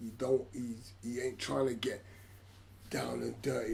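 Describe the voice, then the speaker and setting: Music plays behind a man who talks at a fairly slow pace and a medium pitch. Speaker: boxing commentator. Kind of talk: live sports commentary, watch-along. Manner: excited, animated.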